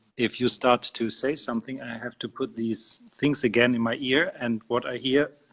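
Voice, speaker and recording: A man with a non-native accent speaks at medium pitch in a monotone, flat intonation with hardly any pauses. The sound is dry and close with no echo. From Austria. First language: German. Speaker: spiritual teacher. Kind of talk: interview. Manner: slow; halting.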